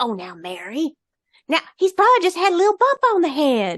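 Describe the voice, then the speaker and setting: In a put-on character voice, the speaker uses a high pitch with very wide pitch swings at a moderate pace. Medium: read story. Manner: gentle, easygoing.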